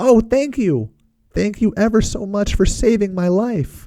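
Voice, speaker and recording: This is a put-on character voice, squeaky and fairly high in pitch. It moves at a moderate pace. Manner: grateful, earnest.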